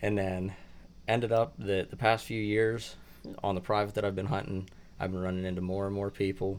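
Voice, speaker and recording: Fairly quick and fairly low-pitched, a man talks with a western Pennsylvania accent. His intonation stays fairly even. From Clarion County, Pennsylvania. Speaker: bow hunting contest moderator. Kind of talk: casual chat.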